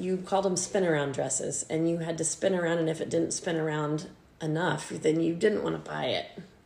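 Over noticeable background noise, a woman talks at a fairly quick pace. Her pitch is fairly low. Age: 50s. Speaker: mother of the host, baker and former teacher. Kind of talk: casual chat.

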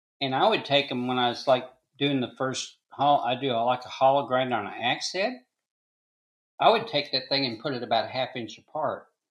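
A man with an ordinary speaking voice and an American accent, medium pitch, ordinary pitch variation and a moderate pace. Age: 60s. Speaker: blacksmith and forge maker. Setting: video call.

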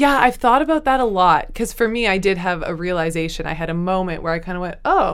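A woman with a medium pitch talks at a fairly quick pace, her voice making very wide pitch swings. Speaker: author. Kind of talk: casual interview chat.

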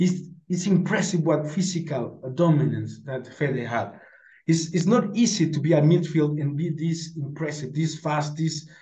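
A man's fairly high voice with a dark, mellow tone and a Spanish accent, fairly slow, with audible room echo. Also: ordinary pitch variation. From Mexico. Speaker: football podcast panelist. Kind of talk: casual chat.

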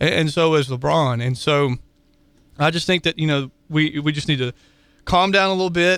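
Long, frequent pauses in a man's moderate-paced delivery, his pitch fairly high with ordinary variation. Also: very clean recording, silent background. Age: 20s. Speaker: sports radio co-host. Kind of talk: casual chat.

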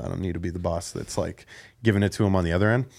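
In a very clean recording with a silent background, a man speaks at a very fast pace. His voice is fairly low, with ordinary pitch variation. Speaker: former special education teacher. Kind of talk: casual chat. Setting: studio. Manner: calm.

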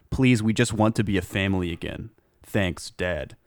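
A man speaks fairly quickly in a normal speaking voice, with a fairly low pitch and ordinary pitch variation. The recording is very clean, with a silent background. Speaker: podcast host. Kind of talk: casual comedic chat.

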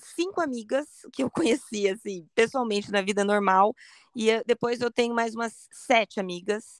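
A woman with a plain, everyday voice speaks at a moderate pace with ordinary pitch variation, in a dry, close sound with no echo on a very clean recording with a silent background. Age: 40s. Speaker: cancer survivor and online community founder. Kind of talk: interview testimony.

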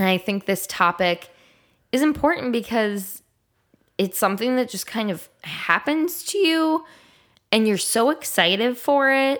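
Speaking in an American accent, a woman uses a fairly high pitch with very wide pitch swings. Her fairly slow delivery, full of long, frequent pauses, is on a very clean recording with a silent background. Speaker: podcast co-host. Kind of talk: casual chat.

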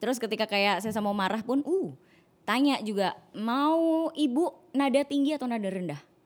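Her pitch is high and swings very widely as this woman talks at a moderate pace. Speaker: podcast co-host. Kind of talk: casual chat.

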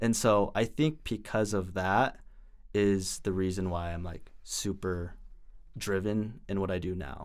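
With a normal speaking voice, a man talks at a fairly slow pace, his fairly low pitch showing ordinary variation. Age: 20s. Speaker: social media creator and student. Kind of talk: casual interview.

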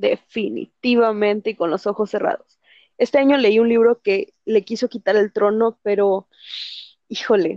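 A woman with a Mexican accent talks at a fairly slow pace, her fairly high pitch paired with a dark, mellow tone. Her intonation stays fairly even, and the sound is dry and close with no echo. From Mexico. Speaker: book reviewer. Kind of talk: casual chat.

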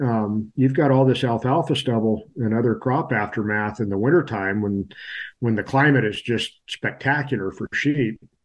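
In a Californian accent, a man speaks at medium pitch with ordinary pitch variation. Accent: Californian American. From California, Sierra foothills. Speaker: livestock extension advisor. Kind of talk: casual interview.

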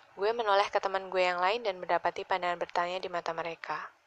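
The reading is aloud and in a natural voice. Its intonation changes only a little.

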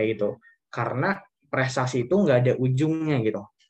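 Somewhat breathy, the speech moves at a fairly quick pace with ordinary pitch variation. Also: man. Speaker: university student. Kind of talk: casual interview. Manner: hesitant, many fillers.

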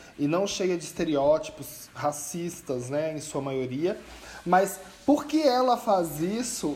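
Over noticeable background noise, a man speaks very slowly with a high pitch. His intonation is lively. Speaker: podcast co-host. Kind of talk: casual chat.

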